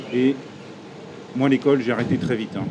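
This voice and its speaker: Noticeable background noise is present. A man talks over it at a fairly quick pace. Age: 40s. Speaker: entrepreneur, piercing shop owner. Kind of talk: podcast interview.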